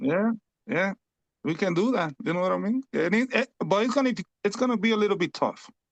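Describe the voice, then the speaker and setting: With a Spanish accent, a man speaks at a fairly quick pace in a high voice, with ordinary pitch variation, very even loudness and long, frequent pauses. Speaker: fantasy basketball league player. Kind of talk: casual chat. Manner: halting.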